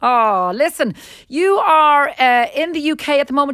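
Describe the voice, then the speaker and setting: Heard on a very clean recording with a silent background, a woman with a bright, sharp tone speaks at a moderate pace with lively intonation. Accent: Irish. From Ireland. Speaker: radio host. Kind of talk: radio interview.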